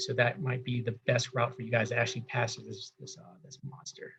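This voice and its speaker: The speaker here is a man. There is a somewhat breathy quality to his voice. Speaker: government employee giving career advice. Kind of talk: career workshop walkthrough. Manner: fast; halting.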